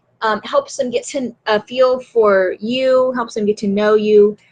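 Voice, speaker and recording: Using a plain, everyday voice, a woman speaks at a fairly high pitch and a fairly slow pace. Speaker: writing and marketing coach. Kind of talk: live stream talk to viewers. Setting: Facebook Live video.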